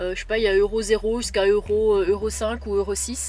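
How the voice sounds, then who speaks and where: Music plays behind a woman as she talks. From Belgium. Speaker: travel vlogger. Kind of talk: casual vlog. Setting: in a camper van. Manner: hesitant, many fillers.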